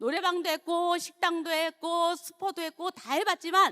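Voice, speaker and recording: A woman speaks in a raised, projected voice with a bright, sharp tone. Her pace is fairly slow. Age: 60s. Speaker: network marketing distributor. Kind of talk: testimony.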